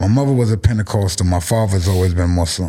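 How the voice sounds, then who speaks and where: An animated, fairly low-pitched man with a New York accent. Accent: New York City. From South Bronx, New York City. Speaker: cannabis brand founder. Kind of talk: casual chat.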